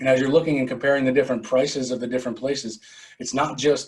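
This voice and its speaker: A man at medium pitch talks at a very fast pace. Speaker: project management trainer. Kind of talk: webinar presentation. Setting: online webinar.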